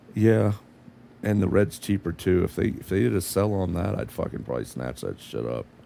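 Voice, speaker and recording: A man's very deep, low voice with a dark, mellow tone, vocal fry, very wide pitch swings and a fairly quick pace. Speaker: gaming streamer. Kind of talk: casual chat. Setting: live stream.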